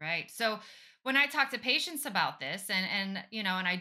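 A woman's bright, sharp tone at a very fast pace. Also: quiet background. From Europe. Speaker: podcast host and physician assistant; podcast host. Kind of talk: interview; interview conversation. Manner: animated. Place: home room. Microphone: earbuds.

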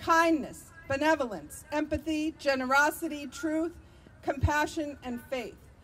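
Shouting in an American accent, warm in tone, at a fairly slow pace. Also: woman. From Vermont, US. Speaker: activist and political candidate. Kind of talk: impassioned outdoor rally speech against militarism, stacking budget figures. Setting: rally with live audience. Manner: fiery and rousing, repeating lines like 'It's monstrous' for emphasis; warm and engaged with the crowd, laughing at their shouts. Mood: earnest, persuasive. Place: street. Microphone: podium.

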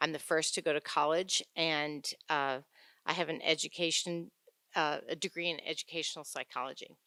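A woman with an American accent, a fairly low pitch and a bright, sharp tone, recorded dry and close with no echo in a very clean recording with a silent background. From upstate New York. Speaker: school board candidate. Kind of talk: candidate forum statement. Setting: town-hall forum with audience.

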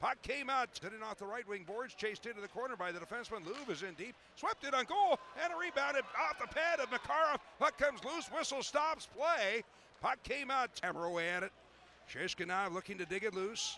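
A man with an extremely high pitch uses a raised, projected voice at a fairly quick pace. His pitch swings very widely, and there is noticeable background noise. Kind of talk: ice hockey play-by-play commentary. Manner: fast, clipped, animated play-by-play delivery.

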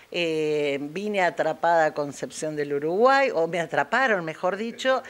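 Lively intonation from a woman with a fairly low pitch, at a fairly slow pace. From Argentina, Paraná (Entre Ríos). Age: 60s. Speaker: chess teacher. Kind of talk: interview. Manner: animated; halting.

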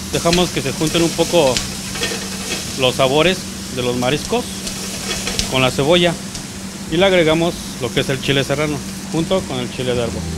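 Long, frequent pauses over loud background noise. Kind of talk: cooking tutorial. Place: kitchen. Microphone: handheld.

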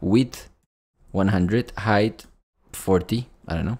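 Against a quiet background, a man talks at a very slow pace in a fairly low voice. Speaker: coding instructor. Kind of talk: tutorial. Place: home room.

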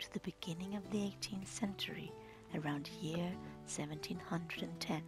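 With music in the background, the speaker is soft-spoken and talks at a fairly slow pace. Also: woman. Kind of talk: narration introducing scenes.

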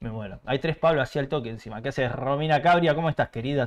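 Very wide pitch swings run through this man's speech. He talks at a fairly high pitch with an Argentine accent. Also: quiet background. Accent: Rioplatense Argentine Spanish. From Argentina. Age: 30s. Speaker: motorcycle YouTuber. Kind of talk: live stream chat. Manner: animated. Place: home room.

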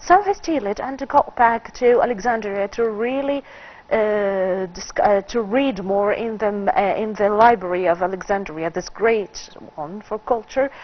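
A woman with an Arabic accent speaks at a fairly slow pace. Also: fairly high pitch for a woman, ordinary pitch variation. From Egypt. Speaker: film critic; talk show guest. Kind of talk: TV interview. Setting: studio. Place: studio. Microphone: lapel.

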